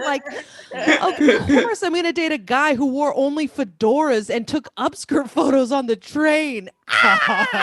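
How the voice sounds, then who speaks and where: High pitch from a woman speaking at a moderate speed, noticeable noise behind her. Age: 30s. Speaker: stand-up comedian. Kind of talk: stand-up.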